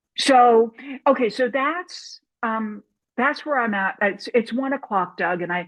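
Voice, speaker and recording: A woman with a plain, everyday voice speaks in an American accent. Her pitch is fairly high, her intonation lively, and her pace fairly slow. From US Midwest, St. Louis. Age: 60s. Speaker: documentary filmmaker and film professor. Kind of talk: panel discussion.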